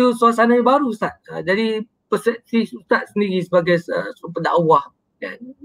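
A man speaks at a moderate pace with a high pitch and ordinary pitch variation. The sound is dry with no echo, and the background is quiet. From Malaysia. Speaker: moderator. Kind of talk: moderated discussion. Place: home room. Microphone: webcam.

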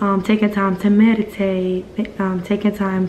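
A woman talks in a monotone, flat intonation at a medium pitch. Music plays in the background. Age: 20s. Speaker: military veteran. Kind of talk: casual talk to camera. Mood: earnest, encouraging. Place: home room. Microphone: webcam.

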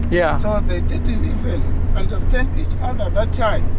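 A moderate pace, with loud background noise and a dry sound with no echo. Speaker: tour guide. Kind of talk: storytelling explanation. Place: car. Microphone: phone near.

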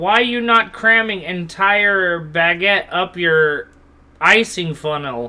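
The speaker uses a put-on character voice at a middle pitch. The delivery is fairly slow. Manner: muttering and ranting to itself.

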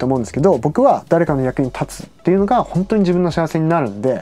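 A man's high voice with a dark, mellow tone, very wide pitch swings and a very fast pace. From Hokkaido, Kushiro; Hokkaido, Japan. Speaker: travel vlogger. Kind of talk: casual vlog monologue. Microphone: lapel.

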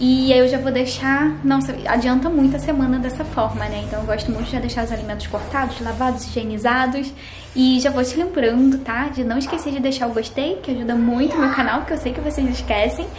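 A high-pitched woman at a fairly quick pace with fairly even intonation, audible room echo and music in the background. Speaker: home vlogger. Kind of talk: casual vlog chat. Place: kitchen. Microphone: phone near.

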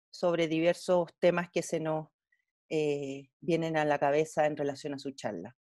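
In a quiet setting, a woman talks fairly slowly. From Chile. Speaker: physician and medical educator, webinar host; medical educator, webinar host. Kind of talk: webinar moderation. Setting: video call. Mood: warm, grateful. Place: home room. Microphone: earbuds.

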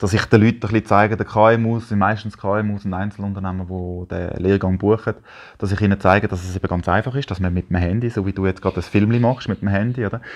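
A man talks very fast in a Swiss accent, his pitch fairly low. His intonation stays monotone and flat over a quiet background. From German-speaking Switzerland. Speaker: photographer; interview guest. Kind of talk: casual chat. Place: home room. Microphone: lapel.

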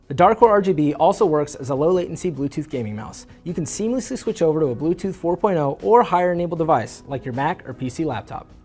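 Faint music plays in the background as a man speaks at a fairly quick pace. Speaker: presenter. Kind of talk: promotional product presentation. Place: studio. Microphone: lapel.

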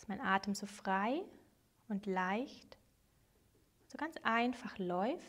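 Soothing and gentle in tone, a woman speaks at a very slow pace and medium pitch, with ordinary pitch variation and long, frequent pauses. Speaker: meditation teacher. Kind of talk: guided meditation, calm spoken instructions. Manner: slow, soothing, gentle; paced with long pauses, measured.

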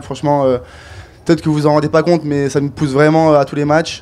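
With a fairly high pitch, a man speaks in a monotone, flat intonation. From France, Grenoble; France. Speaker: ice hockey player. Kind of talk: interview. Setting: fair stand with audience. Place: hall. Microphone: handheld.

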